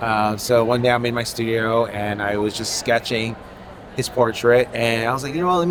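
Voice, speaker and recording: A man with an American accent speaks at a fairly quick pace and medium pitch. Noticeable background noise and audible room echo surround him. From Connecticut, Haitian-born. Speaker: painter. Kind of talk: interview. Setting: art fair. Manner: casual, many fillers.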